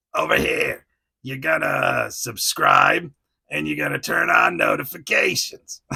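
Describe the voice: A man puts on a raspy character voice in a Jersey accent. He delivers it at a fairly slow pace.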